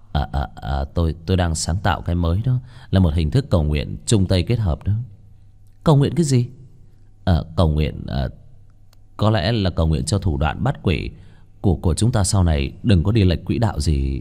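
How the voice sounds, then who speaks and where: Against a quiet background, a man with a very deep, low pitch and a dark, mellow tone speaks at a moderate pace with very wide pitch swings and long, frequent pauses. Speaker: story narrator. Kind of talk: audiobook story reading. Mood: lively, playful narration. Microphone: studio mic.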